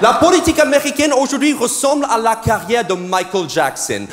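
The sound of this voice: Music plays behind a man speaking. His voice is extremely high, with lively intonation.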